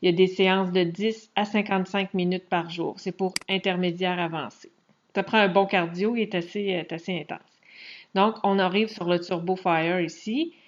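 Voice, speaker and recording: A woman with a Quebec accent speaks in a monotone, flat intonation. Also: medium pitch for a woman, moderate pace. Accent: Québécois French. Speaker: fitness coach. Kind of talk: screen-share tutorial. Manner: casual, hesitant with fillers.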